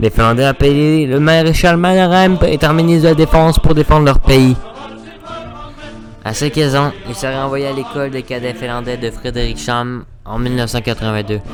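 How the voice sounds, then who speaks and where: A man's voice sits at a fairly high pitch. Background music accompanies him throughout. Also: ordinary pitch variation, moderate pace. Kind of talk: history explainer narration. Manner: casual, crude, joking.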